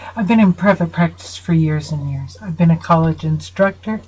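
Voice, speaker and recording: A woman speaks at a fairly low pitch. Her voice is somewhat breathy. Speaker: psychotherapist. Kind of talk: video lecture to viewers. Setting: home studio. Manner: earnest, emphatic.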